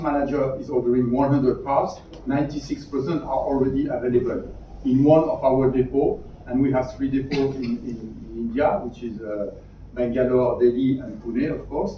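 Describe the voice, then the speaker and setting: A man at a moderate pace with fairly even intonation, plus audible room echo and noticeable background noise. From Europe. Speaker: automotive after-sales executive. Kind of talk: round table discussion.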